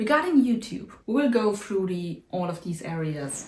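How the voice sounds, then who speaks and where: Audible room echo surrounds the voice. It is somewhat breathy, with lively intonation. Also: woman. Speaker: vlogger, YouTuber. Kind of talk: casual vlog update.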